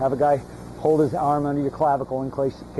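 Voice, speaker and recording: Noticeable background noise runs under the clip. A man talks at a fairly quick pace with a fairly high pitch. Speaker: long snapping coach. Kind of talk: one-on-one coaching feedback. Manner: fast; repeats words, slight stammer.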